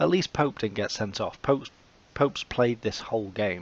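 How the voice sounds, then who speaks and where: A man with an English accent at a moderate pace and ordinary pitch variation. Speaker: video game commentator. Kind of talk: gameplay commentary.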